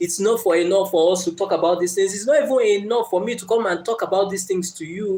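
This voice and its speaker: In a Nigerian accent, a man with a high pitch and a dark, mellow tone talks very fast with hardly any pauses and ordinary pitch variation. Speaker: motivational speaker. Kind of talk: live stream talk. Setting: live stream. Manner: hesitant, many fillers.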